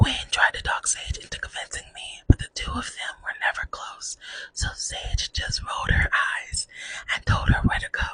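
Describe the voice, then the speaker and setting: A woman whispers at a fairly slow pace. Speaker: ASMR artist. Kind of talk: ASMR reading of online post. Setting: close mini microphone. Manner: whispered.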